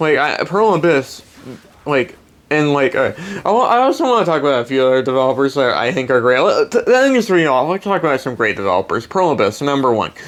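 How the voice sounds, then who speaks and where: The voice moves at a fairly quick pace over noticeable background noise. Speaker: gaming YouTuber. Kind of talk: rant. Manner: fast; animated.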